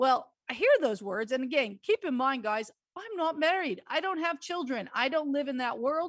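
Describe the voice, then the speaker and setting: Speaking at a moderate pace with an Australian accent, a woman uses a high pitch with very wide pitch swings. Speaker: radio host and tax consultant. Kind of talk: call-in radio advice show.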